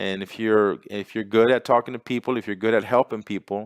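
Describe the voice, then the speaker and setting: A man speaks at a fairly low pitch. The sound is dry and close with no echo, very clean, and the background silent. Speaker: business opportunity presenter. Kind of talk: sales pitch. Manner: animated.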